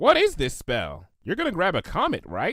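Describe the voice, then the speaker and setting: A man uses a put-on character voice at a high pitch and moderate pace. The recording is very clean, with a silent background. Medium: read story.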